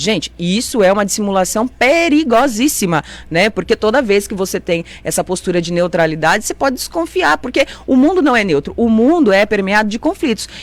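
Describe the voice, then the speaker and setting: A woman talks at a fairly quick pace and a medium pitch. Her tone is animated, with very wide pitch swings. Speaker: city councillor. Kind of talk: radio interview. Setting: radio studio, also streamed on Facebook. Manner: fast.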